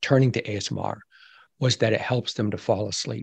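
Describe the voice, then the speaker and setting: A somewhat breathy man with ordinary pitch variation, dry and close with no echo over a quiet background. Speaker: ASMR expert and whisper podcaster. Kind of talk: interview answers, explaining. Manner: gentle, calm whisper.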